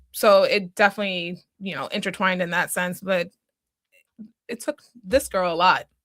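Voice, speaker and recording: A woman with an American accent, medium pitch, fairly even intonation and a moderate pace, with long, frequent pauses, big swings in loudness, and a dry, close sound with no echo. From Boston area, Massachusetts. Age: 30s. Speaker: small business owner, single mother. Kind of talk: podcast interview.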